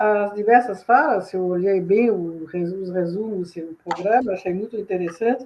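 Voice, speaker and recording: A woman at a moderate pace, in a Swiss French accent. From Switzerland. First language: French (speaking Portuguese). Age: old. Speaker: professor. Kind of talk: lecture. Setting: video call.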